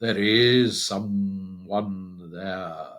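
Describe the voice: A text is read out loud. The reading is plain.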